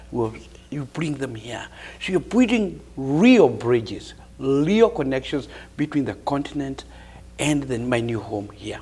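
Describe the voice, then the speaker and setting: With a Kenyan accent, a man speaks at medium pitch in a somewhat breathy voice. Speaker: professor and community leader. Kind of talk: TV interview.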